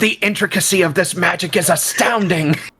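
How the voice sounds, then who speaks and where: A man puts on a character voice pitched high. He talks at a fairly quick pace. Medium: virtual streamer. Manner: grandiose, formal.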